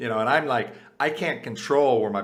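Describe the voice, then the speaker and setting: There is audible room echo around a man speaking at a medium pitch. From US, Puerto Rican family. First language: Spanish. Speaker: author and leadership advisor. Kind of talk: interview. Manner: frequent fillers and repetitions.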